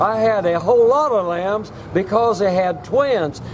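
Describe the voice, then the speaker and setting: An American accent marks a man speaking fairly slowly at a high pitch, with ordinary pitch variation and noticeable background noise. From US Midwest, Southwest Missouri. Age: 80s+. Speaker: retired entrepreneur. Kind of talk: storytelling. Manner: halting.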